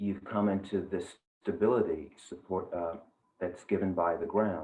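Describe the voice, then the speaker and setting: Delivered in an ordinary speaking voice, the speech moves at a fairly slow pace with fairly even intonation. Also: man, fairly low pitch for a man. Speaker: yoga teacher, meditation guide. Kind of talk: guided meditation. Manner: slow, calm, soft-spoken.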